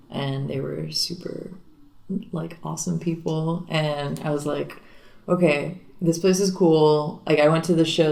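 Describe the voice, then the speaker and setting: There is vocal fry in a woman's voice, heard with audible room echo. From Miami, Florida. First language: Spanish. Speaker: singer and guitarist in a garage rock band. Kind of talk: casual interview.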